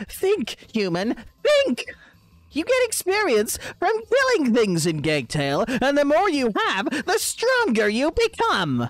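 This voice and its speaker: The voice is high-pitched. It is a put-on character voice. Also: fairly slow pace. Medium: game stream. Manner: mocking, gleefully rude; loud, exclaiming.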